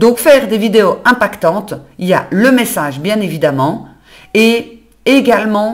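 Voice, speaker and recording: Speaking at a fairly slow pace, a woman uses a fairly high-pitched voice. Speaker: business coach and community manager. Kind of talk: solo podcast monologue. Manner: conversational, natural.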